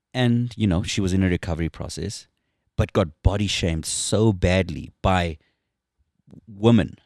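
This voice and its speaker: On a very clean recording with a silent background and a dry, close sound with no echo, a man with a South African accent speaks at a moderate pace in a very deep, low pitch, using ordinary pitch variation and long, frequent pauses. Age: 40s. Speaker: former professional motorcycle racer. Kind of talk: casual chat. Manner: joking.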